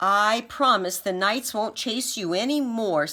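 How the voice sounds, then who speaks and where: A female-sounding voice shouts in a put-on character voice, fairly high in pitch. The pace is fairly slow. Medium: read story. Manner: shouting, commanding.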